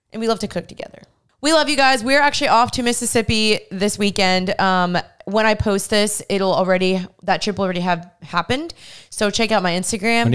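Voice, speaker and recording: Against a quiet background, a woman speaks at a moderate pace in a fairly high pitch with ordinary pitch variation. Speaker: podcast host. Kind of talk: casual, conversational. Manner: chatty, upbeat. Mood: warm, upbeat. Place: home room. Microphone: handheld.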